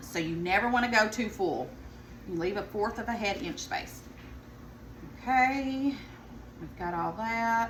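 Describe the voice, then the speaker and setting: With a Southern US accent, a woman speaks at a fairly slow pace and a fairly high pitch, her pitch varying in an ordinary way, with long, frequent pauses and audible room echo. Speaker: home cook vlogger. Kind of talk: cooking tutorial. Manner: casual, chatty.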